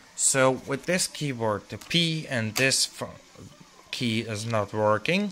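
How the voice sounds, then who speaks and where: Over noticeable background noise, a man with a non-native accent talks at a very slow pace, his medium-pitched voice rising and falling in lively intonation. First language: not English. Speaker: tech hobbyist YouTuber. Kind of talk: tutorial. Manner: halting.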